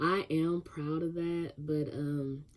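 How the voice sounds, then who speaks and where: A woman speaks quietly in a very deep, low voice with a dark, mellow tone. Her intonation stays monotone and flat. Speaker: podcast host. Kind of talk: casual monologue vlog. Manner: halting, many fillers; quiet, held-back.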